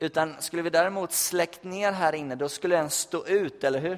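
Speaking at a fairly slow pace, a man uses fairly even intonation and a fairly high pitch. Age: 20s. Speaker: youth pastor. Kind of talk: sermon. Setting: church. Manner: halting.

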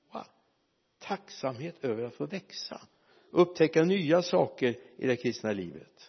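A man speaks in a fairly high pitch with vocal fry and lively intonation. His pace is fairly slow, broken by long, frequent pauses. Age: old. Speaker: preacher. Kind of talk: sermon.

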